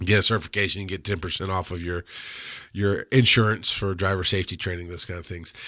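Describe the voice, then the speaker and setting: On a very clean recording with a silent background, a man talks at a fairly quick pace in a bright, sharp tone. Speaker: paramedic educator and show host. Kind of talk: live-stream rant and Q&A. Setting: studio, Facebook live stream. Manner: halting, self-correcting.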